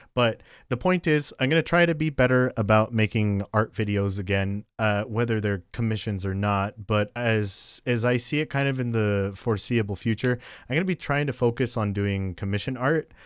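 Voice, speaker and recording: In a very clean recording with a silent background and a dry, close sound with no echo, a man with an unremarkable speaking voice talks at a moderate pace and medium pitch with ordinary pitch variation. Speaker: artist and YouTuber. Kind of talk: casual voiceover over drawing video. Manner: relaxed, laid-back.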